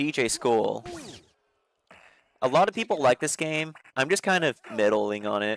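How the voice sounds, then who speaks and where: A man's medium-pitched voice at a moderate pace, with very wide pitch swings and long, frequent pauses. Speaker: gaming streamer. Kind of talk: live stream commentary. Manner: casual, halting.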